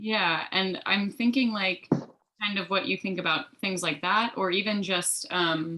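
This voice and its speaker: Speaking at a fairly slow pace but with hardly any pauses, a woman holds a medium pitch with ordinary variation. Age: 20s. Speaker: events assistant. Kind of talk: casual chat. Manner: halting.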